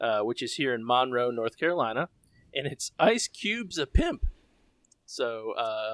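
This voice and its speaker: A man with a Southern US accent speaks at a medium pitch in a dry, close sound with no echo on a very clean recording with a silent background. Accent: Southern US, developing. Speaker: podcast co-host. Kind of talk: casual chat.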